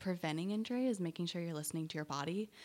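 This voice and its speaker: A woman with an American accent and lively intonation on a very clean recording with a silent background. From US Midwest, central Illinois. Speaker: athletic trainer. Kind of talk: interview. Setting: studio.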